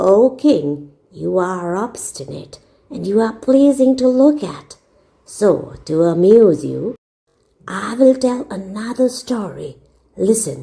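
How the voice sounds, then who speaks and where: A woman's put-on character voice, medium-pitched and fairly slow. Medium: read story.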